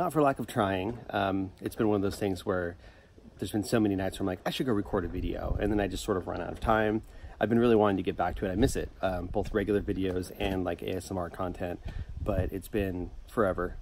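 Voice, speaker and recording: A man talks at a fairly quick pace in a plain, everyday voice, fairly low in pitch with fairly even intonation. The sound is dry with no echo, and there is light background noise. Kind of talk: casual vlog chat. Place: garden.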